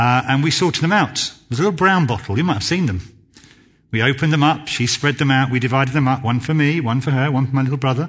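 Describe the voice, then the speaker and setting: A man speaks at a very fast pace with a southern English accent. His voice is medium-pitched and somewhat breathy, with ordinary pitch variation. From southern England (Basingstoke, Hampshire). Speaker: church youth worker. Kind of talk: sermon. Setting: church. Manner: halting.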